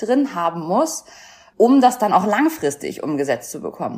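Using a normal speaking voice, this woman talks at a moderate pace in a medium pitch. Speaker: former weight-loss show contestant. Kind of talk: casual interview.

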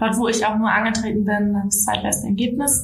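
Audible room echo and noticeable background noise around speech at a fairly quick pace. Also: woman. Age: 20s. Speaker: local politician. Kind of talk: interview.

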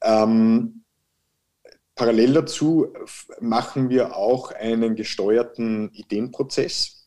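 Very slow and at medium pitch, a man speaks in a dark, mellow tone with fairly even intonation. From Austria (Salzburg). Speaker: managing director of a construction tech firm. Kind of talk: interview. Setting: video call.

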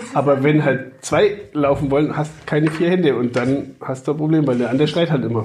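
A man talks at a fairly quick pace in a fairly high voice, with hardly any pauses. His pitch variation is ordinary, and there is noticeable background noise. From Upper Franconia, Germany (Kulmbach). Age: 50s. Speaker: father and podcast guest. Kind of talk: casual chat.

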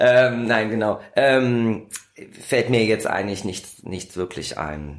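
A man's medium-pitched voice moves very slowly, with pitch that varies in an ordinary way. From Kassel, Germany. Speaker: magazine editor-in-chief and musician. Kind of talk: casual interview. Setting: small back room in magazine office.

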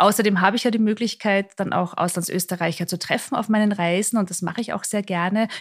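A woman at medium pitch speaks very fast with hardly any pauses and fairly even intonation. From Austria, Mondsee near Salzburg. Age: 40s. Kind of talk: interview. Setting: bar in Salzburg, in person.

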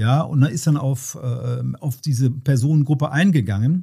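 This man's voice sits at a medium pitch with a dark, mellow tone and a somewhat breathy quality. His pitch varies in an ordinary way, and the recording is very clean with a silent background. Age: 60s. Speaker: deacon and emergency chaplain. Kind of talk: casual interview chat. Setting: basement home recording.

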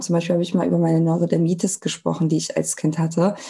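A woman's fairly low voice at a very fast pace. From Germany, Cologne. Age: 30s. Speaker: Instagram sales coach. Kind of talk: casual interview chat.

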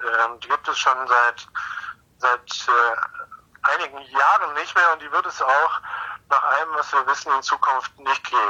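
A man talks at a fairly slow pace over noticeable background noise, his sound dry and close with no echo. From Munich, Bavaria. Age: 40s. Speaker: marine biologist, professor. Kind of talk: interview. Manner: halting, many repetitions.

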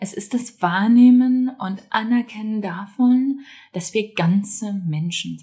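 Somewhat breathy, a woman speaks at a very slow pace with ordinary pitch variation and big swings in loudness. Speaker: parenting podcast host. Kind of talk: personal reflective monologue. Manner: conversational, some hesitations.

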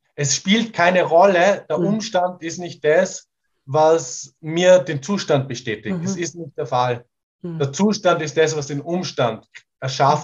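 An ordinary speaking voice, this man's is fairly high in pitch, with ordinary pitch variation and a fairly slow pace. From Portugal, rural. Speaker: sound healer and songwriter. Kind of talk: casual interview.

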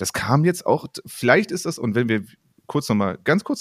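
A man speaks with lively intonation. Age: 30s. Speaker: podcast co-host and volleyball coach. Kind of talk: casual chat.

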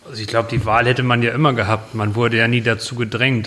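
Against noticeable background noise, a man with a medium pitch speaks at a fairly quick pace. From northern Germany, near Bremen. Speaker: show jumping rider. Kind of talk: interview.

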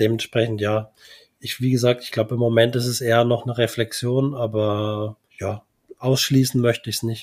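A man's medium-pitched, monotone voice with flat intonation at a moderate pace, on a very clean recording over a silent background. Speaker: podcast co-host. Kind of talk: casual chat.

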